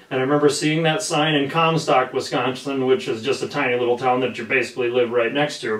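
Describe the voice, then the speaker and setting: The man's pitch rises and falls in an ordinary way, with the room's echo clearly audible. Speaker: podcast host. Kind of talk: podcast introduction. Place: studio.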